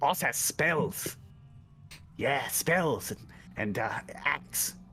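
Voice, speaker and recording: A put-on character voice with a low-to-middle pitch drags along at a very slow pace amid clear background noise. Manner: broken, simple speech.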